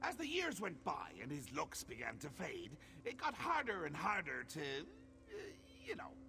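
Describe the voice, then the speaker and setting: A man's put-on character voice, theatrical in tone, at a moderate pace over clear background noise. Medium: video game. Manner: whimsical, theatrical, mischievous.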